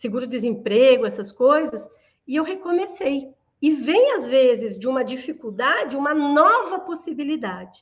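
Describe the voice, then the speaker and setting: Lively intonation from a woman with a high-pitched voice. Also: moderate pace. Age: 60s. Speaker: therapist and HR specialist. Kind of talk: interview.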